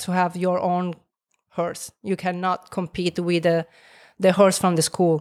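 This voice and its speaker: Very clean with a silent background, the recording captures a woman speaking at a fairly slow pace. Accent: Italian. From Italy. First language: Italian. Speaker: gym owner and fitness trainer. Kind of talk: casual interview chat.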